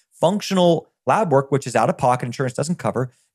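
A man with an American accent talks at a very fast pace with a fairly high pitch and lively intonation. The recording is very clean, with a silent background and a dry, close sound with no echo. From US South, rural Virginia. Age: 30s. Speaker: nutritionist and health business founder. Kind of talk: podcast interview, personal story. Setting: podcast interview. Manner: animated.

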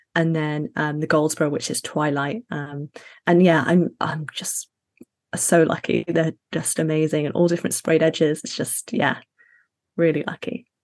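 This woman's voice sits very deep and low, moving at a fairly slow pace with fairly even intonation. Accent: British. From Middle East and Sheffield, UK. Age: 30s. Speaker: fantasy author. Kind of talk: casual interview.

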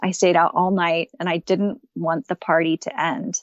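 A woman speaks in an American accent at a fairly slow pace. It is an ordinary speaking voice, medium in pitch. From Texas. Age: 30s. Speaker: guest sharing recovery story. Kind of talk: interview, personal story.

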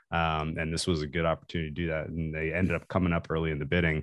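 Speaking at a very fast pace, a man uses a very deep, low voice. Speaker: sports bettor. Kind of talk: casual chat.

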